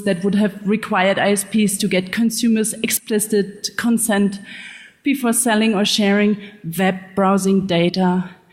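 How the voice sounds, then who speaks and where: A woman's fairly high voice, fairly slow and fairly even in intonation, over noticeable background noise. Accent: German. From Germany. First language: German. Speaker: investigative journalist. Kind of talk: conference talk. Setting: stage with audience.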